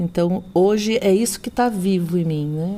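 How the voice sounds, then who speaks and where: Fairly even intonation in a woman's voice of dark, mellow tone. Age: 60s. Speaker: doula and therapist. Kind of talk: interview conversation.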